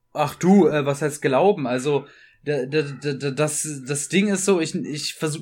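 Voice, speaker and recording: A man talks at a very slow pace in a fairly high pitch with ordinary variation. The recording is very clean, with a silent background. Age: 20s. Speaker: comic artist. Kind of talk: casual interview chat.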